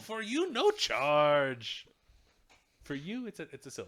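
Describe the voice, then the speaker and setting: A put-on character voice from a man, pitched high and delivered at a fairly slow pace. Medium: actual play. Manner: repetitive, coaxing.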